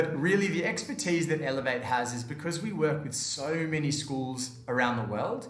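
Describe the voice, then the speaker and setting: A man with an Australian accent speaks amid noticeable background noise and audible room echo. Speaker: education company manager. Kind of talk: seminar presentation.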